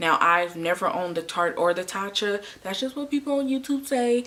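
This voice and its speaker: A woman at a fairly quick pace, lively intonation over noticeable background noise. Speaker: beauty YouTuber. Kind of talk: product review tutorial. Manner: fast; animated.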